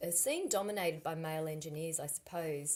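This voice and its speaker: With ordinary pitch variation, a woman's fairly low voice carries through the clip. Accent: Australian. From Australia, Sydney. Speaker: climate consultant. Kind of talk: school guest talk.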